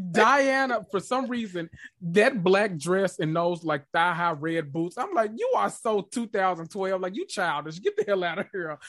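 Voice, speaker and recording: An animated tone at a fairly slow pace, hardly any pauses, and a quiet background. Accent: strong Southern US. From US South, Memphis, Tennessee. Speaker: podcast host. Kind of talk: casual chat.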